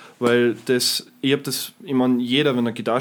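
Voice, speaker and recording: A man speaks at a moderate pace with a Tyrolean accent. His pitch sits in the medium range. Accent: Tyrolean Austrian German. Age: young. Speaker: guitarist and guitar teacher. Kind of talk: casual chat.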